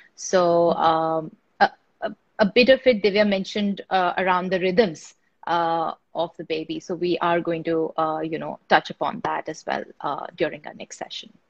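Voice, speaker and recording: A woman with an ordinary speaking voice talks at a fairly slow pace in a fairly low pitch, with ordinary pitch variation and big swings in loudness. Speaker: webinar host. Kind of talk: live webinar moderation.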